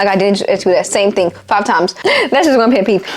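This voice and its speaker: Noticeable background noise sits behind the voice. It moves at a very fast pace with ordinary pitch variation. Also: woman. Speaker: YouTuber. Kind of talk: storytime monologue. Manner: animated.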